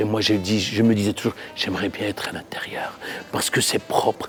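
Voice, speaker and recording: Music plays in the background while a man speaks with fairly even intonation. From Morocco, Marrakech. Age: 50s. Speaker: chef. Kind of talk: interview. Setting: restaurant. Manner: halting.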